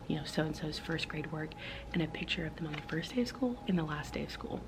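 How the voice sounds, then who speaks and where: A woman speaks with a very deep, low pitch. Room echo and background noise are both noticeable. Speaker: vlogger and first grade teacher. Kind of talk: casual vlog talk. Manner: chatty, fast; quiet.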